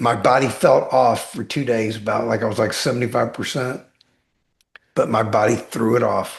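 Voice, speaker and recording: Somewhat breathy, a man talks at a moderate pace with fairly even intonation over a quiet background. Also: medium pitch for a man. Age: 60s. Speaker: weight-loss guest sharing personal transformation. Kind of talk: podcast interview.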